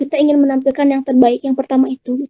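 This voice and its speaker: A woman speaks high and shrill, yet with a dark, mellow tone. The sound is dry and close, with no echo. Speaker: public speaking speaker. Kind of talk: online talk and Q&A. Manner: casual, chatty.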